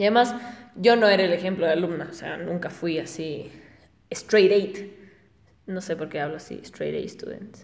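Audible room echo surrounds a woman's fairly low voice, which shows ordinary pitch variation at a fairly slow pace. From Ecuador (Guayaquil). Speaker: podcaster. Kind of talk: casual monologue. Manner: halting, with frequent repetitions.

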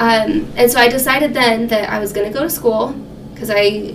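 Noticeable background noise and audible room echo accompany a woman who talks at a fairly quick pace. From New Mexico. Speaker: financial counselor. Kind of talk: casual interview.

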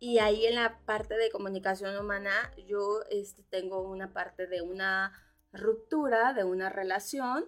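A woman talks with a central Mexican accent at a medium pitch. Her pace is fairly slow, and her intonation is fairly even. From central Mexico (Cuernavaca, Morelos). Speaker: human communication therapist, activist, institute founder. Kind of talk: radio interview, life story. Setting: radio studio.

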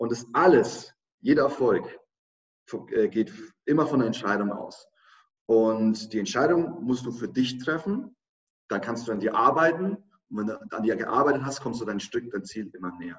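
Speaking at a moderate pace with lively intonation, a man with a medium-pitched voice leaves long, frequent pauses. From Germany, Lower Franconia (Schweinfurt). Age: 30s. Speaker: online marketing entrepreneur and speaker. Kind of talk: interview.

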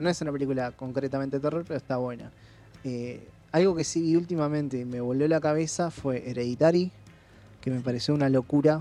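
Music plays in the background as a man talks at a fairly quick pace. His pitch is fairly high. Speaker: podcast co-host. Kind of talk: casual chat.

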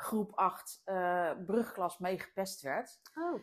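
A woman talks at a very slow pace, her pitch variation ordinary. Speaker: business coach and podcast host. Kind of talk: interview. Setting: at home.

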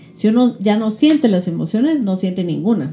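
Lively intonation from a woman against noticeable background noise. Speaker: web show host. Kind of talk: interview. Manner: fast.

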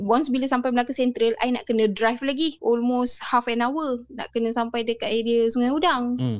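Speaking at a moderate pace with hardly any pauses, a woman uses a high voice and a Malaysian accent. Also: fairly even intonation. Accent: Malaysian Malay. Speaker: storyteller subscriber sharing ghost stories. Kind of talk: casual storytelling over video call. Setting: video call.

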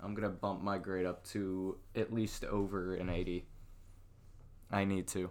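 With a very deep, low pitch, a man speaks at a fairly slow pace in a monotone, flat intonation, leaving long, frequent pauses. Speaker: podcast co-host. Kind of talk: casual chat. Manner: soft-spoken.

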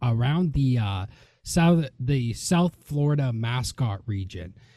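A somewhat breathy man with a dark, mellow tone speaks at a very slow pace and a medium pitch, with ordinary pitch variation. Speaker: podcast host and wrestler. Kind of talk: casual interview.

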